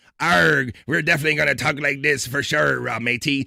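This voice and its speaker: A man's raspy put-on character voice, medium in pitch, at a fairly quick pace. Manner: playful, jokey.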